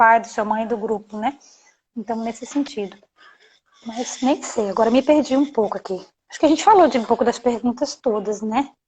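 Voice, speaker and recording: A woman's speech keeps a moderate pace, and her pitch shifts in an ordinary way. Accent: strong Bahian. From Bahia, Brazil (Salvador). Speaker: anti-bullying educator, live stream host. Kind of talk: live stream talk. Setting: live video stream. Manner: animated. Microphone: connection freezing.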